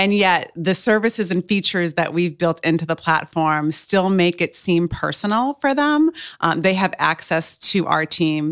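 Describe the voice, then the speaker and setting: An unremarkable speaking voice with ordinary pitch variation moves at a moderate pace in a very clean, silent-background recording with a dry, close sound and no echo. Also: woman. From Cape Cod, Massachusetts. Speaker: startup founder. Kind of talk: podcast interview.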